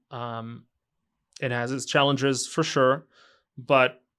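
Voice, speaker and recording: Over a silent background in a very clean recording, a man at medium pitch speaks in a monotone, flat intonation with a slight Israeli accent. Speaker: entrepreneur. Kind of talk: interview answer.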